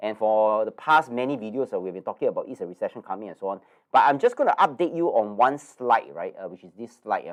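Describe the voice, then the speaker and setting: Over a quiet background, a man rushes along at a very fast pace with hardly any pauses and big swings in loudness. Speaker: investment educator. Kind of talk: webinar presentation. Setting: live online webinar with screen share. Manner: hesitant, filler-heavy.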